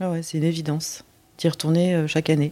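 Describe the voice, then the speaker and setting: Her tone is dark and mellow. This voice belongs to a woman. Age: 40s. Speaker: adoptee sharing life story. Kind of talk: testimony. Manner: halting.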